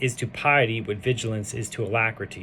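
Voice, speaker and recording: The intonation is fairly even. Behind the voice, there is music. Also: man. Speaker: Torah teacher. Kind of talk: text study lecture, reading aloud with commentary. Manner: halting, with fillers.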